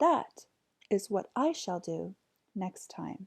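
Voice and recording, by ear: In a put-on character voice, a woman talks slowly at a medium pitch with big pitch swings, vocal fry, a slightly mellow tone and a slightly husky edge.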